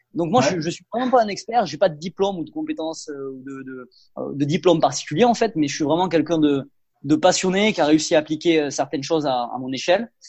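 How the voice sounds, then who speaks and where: A man's fairly high voice carries lively intonation and big swings in loudness. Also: fairly quick pace. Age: 20s. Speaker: personal development content creator. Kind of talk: interview. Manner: hesitant, frequent fillers and repetitions.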